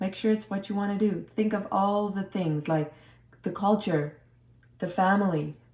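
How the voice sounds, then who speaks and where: A woman's voice, somewhat breathy, shows ordinary pitch variation. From South Africa. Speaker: au pair. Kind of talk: interview.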